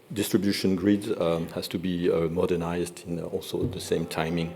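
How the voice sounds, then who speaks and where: A man with a French accent speaks at a moderate pace in a very deep, low pitch. His intonation is monotone and flat, with audible room echo. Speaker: energy industry representative. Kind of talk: conference presentation. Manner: halting, many fillers.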